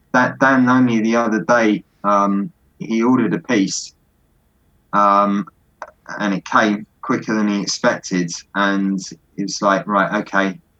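Speaking at a fairly slow pace with long, frequent pauses, a man with a fairly low pitch talks in a southern English accent. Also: ordinary pitch variation. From London, England. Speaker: Lego hobbyist builder. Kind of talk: casual interview.

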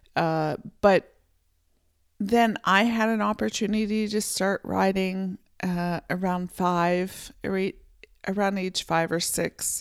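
Speaking in an American accent, the voice moves at a very slow pace with long, frequent pauses. The recording is very clean, with a silent background. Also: woman, medium pitch for a woman. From central Pennsylvania, US. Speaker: podcast host. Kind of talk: solo podcast monologue. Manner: halting, many fillers.

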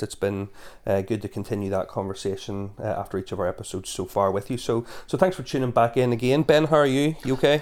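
A man with a Northern Irish accent at a very fast pace, ordinary pitch variation, on a very clean recording with a silent background. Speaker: podcast host and church officer. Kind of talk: casual podcast conversation.

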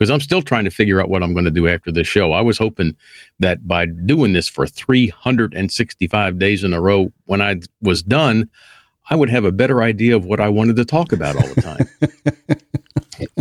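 This fairly low-pitched man talks at a moderate pace with lively intonation. The sound is dry and close with no echo, and his loudness stays very even. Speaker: podcast host. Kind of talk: casual chat.

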